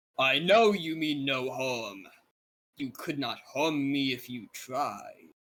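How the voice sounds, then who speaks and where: A booming, put-on character voice from a man, medium in pitch and delivered at a very slow pace. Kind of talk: common tongue, formal. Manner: calm, dismissive, confident.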